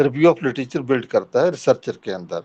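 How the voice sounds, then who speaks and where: A man's voice has a dark, mellow tone. The background is quiet. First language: Punjabi (speaking Hindi). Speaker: professor. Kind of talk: lecture. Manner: halting.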